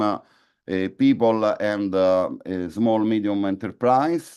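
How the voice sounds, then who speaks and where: At a fairly slow pace, a man speaks in a fairly low pitch with ordinary pitch variation against a quiet background. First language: not English. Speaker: conference speaker on energy policy. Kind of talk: conference presentation. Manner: halting, many fillers and repetitions.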